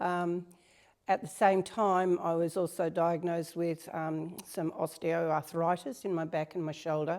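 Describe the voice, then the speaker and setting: A woman speaks at a fairly slow pace in an Australian accent, her fairly low voice held to a monotone, flat intonation. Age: 70s. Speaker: strength training client. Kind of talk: interview.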